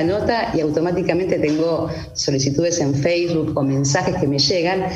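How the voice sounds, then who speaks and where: A woman speaks at a moderate pace, her fairly low voice showing ordinary pitch variation. Audible room echo and noticeable background noise fill the recording. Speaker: witness sharing personal story. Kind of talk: testimony. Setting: video call.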